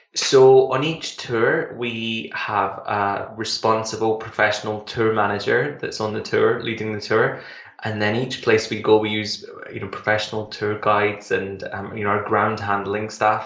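With noticeable background noise behind him, a fairly low-pitched man with a Glasgow accent speaks in a monotone, flat way. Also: moderate pace. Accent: Scottish (Glaswegian). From Glasgow, Scotland. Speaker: travel company founder. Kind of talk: radio interview.

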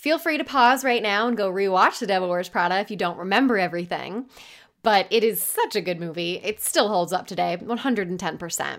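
A woman with an ordinary speaking voice talks in a medium pitch with lively intonation. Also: fairly quick pace. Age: 20s. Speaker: podcast host. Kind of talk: casual solo podcast monologue.

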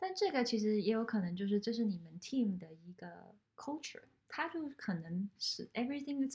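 At a moderate pace, a woman speaks in a somewhat breathy, fairly high-pitched voice with lively intonation. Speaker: podcast host. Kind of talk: casual interview.

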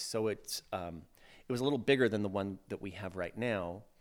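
With an American accent, a man speaks at a fairly low pitch with ordinary pitch variation on a very clean recording with a silent background. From Iowa. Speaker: theater company manager. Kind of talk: interview.

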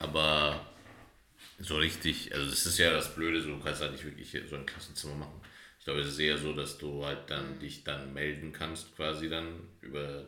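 Speaking at a moderate pace, the man has a very deep, low voice and a flat monotone, with noticeable background noise and audible room echo. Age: 30s. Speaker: podcast co-host. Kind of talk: casual chat.

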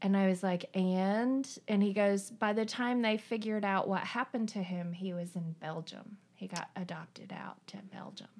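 Speaking at a medium pitch and a moderate pace, a woman with a slight Southern Appalachian accent uses fairly even intonation, hardly any pauses and big swings in loudness. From eastern Tennessee, Appalachia. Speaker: coworker guest, adoptee. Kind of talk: casual chat. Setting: at her home.

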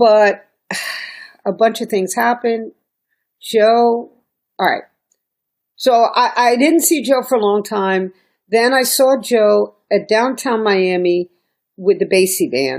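On a very clean recording with a silent background, a woman talks at a very slow pace and a fairly high pitch, with ordinary pitch variation and long, frequent pauses. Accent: New York. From New York (Brooklyn). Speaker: singer, violinist and music professor. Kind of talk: interview conversation. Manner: animated.

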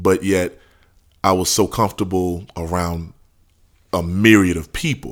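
Heard in a very clean recording with a silent background, a man with a New Orleans accent and fairly low pitch speaks at a moderate pace. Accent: New Orleans Southern US. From New Orleans, Louisiana. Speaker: rapper. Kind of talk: casual interview.

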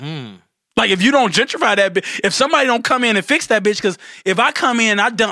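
A man's raised, projected voice, high-pitched, bright and sharp, with lively intonation and a very fast pace. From Detroit, US. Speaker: real estate investor and entertainer. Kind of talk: casual chat.

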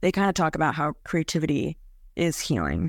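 In a very clean recording with a silent background, a woman talks at a fairly quick pace and a fairly low pitch. She has an unremarkable speaking voice with ordinary pitch variation. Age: 20s. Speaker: chronic illness patient sharing her story. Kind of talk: casual interview.

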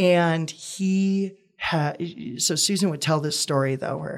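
The speaker has an unremarkable speaking voice with an American accent and ordinary pitch variation. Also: man. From US Midwest, Wisconsin. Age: 20s. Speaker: actor and comedian. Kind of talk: casual interview.

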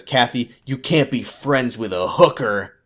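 Using a put-on character voice, a man speaks fairly slowly in a gravelly, raspy, nasal tone at a medium pitch with ordinary pitch variation.

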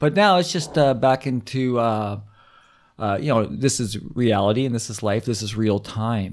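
A man at a medium pitch, an ordinary speaking voice, ordinary pitch variation and a moderate pace. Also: very clean recording, silent background. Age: 50s. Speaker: comedian. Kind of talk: casual chat.

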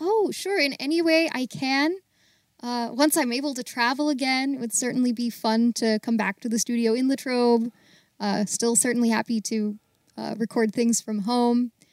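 Speaking in an American accent, a woman uses a high pitch with ordinary variation at a moderate pace. The sound is dry and close, with no echo. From US, Baltimore. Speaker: actor and singer, audio theater volunteer. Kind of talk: casual interview.

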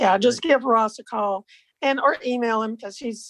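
A woman with an American accent, fairly high pitch, fairly even intonation and moderate pace. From Iowa. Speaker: board secretary and retired vendor. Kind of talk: meeting business. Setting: video call.

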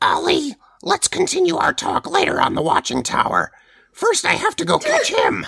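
A put-on character voice speaks here. Its pitch is extremely high, its pace moderate.

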